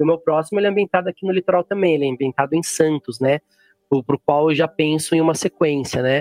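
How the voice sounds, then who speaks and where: Very fast male speech, fairly high in pitch, with ordinary variation in pitch. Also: dry, close sound with no echo. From São Paulo interior, Jundiaí. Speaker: writer and geography teacher. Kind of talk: interview. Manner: halting, many fillers.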